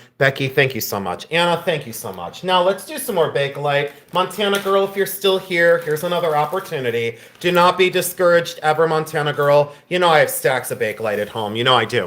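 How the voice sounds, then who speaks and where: Words come out at a very fast pace with hardly any pauses, over noticeable background noise. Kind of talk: live sales stream. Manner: chatty, casual.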